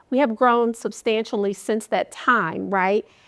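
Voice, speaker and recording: Speaking with an American accent, a woman has an unremarkable speaking voice at medium pitch with ordinary pitch variation and a fairly slow pace. The recording is very clean, with a silent background. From Wisconsin. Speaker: professor. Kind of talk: casual interview.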